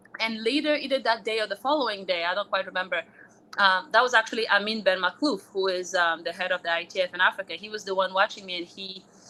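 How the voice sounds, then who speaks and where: Noticeable background noise surrounds a woman speaking at a very fast pace. Her pitch is medium and varies in an ordinary way. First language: French. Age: 30s. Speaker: former college tennis player. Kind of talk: interview. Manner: casual, filler-heavy.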